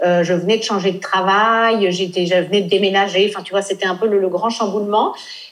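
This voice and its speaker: A woman's medium-pitched, fairly quick, flat monotone voice amid audible room echo and noticeable background noise. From France, raised in Nice. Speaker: blogger and travel entrepreneur. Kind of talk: interview.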